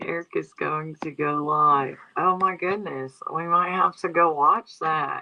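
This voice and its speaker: With a strong Southeast Texas accent, a woman talks at a fairly slow pace, with fairly even intonation and hardly any pauses. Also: fairly low pitch for a woman. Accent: thick Southeast Texas. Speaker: livestream commentator. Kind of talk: casual livestream chat. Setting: livestream on iPad in new house. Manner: casual, rambling conversational.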